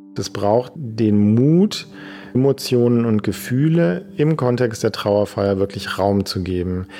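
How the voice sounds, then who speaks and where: Over noticeable background noise, a man speaks at a very slow pace with a fairly low pitch and lively intonation. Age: 50s. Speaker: dancer and choreographer, palliative care trainer. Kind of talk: interview explanation.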